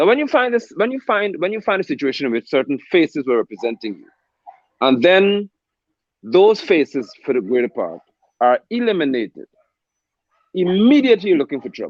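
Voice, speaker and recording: The pitch swings very widely and the loudness swings a lot. The pace is fairly quick, with long, frequent pauses. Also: man. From Guyana. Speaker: political commentator. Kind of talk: political panel discussion. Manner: emphatic.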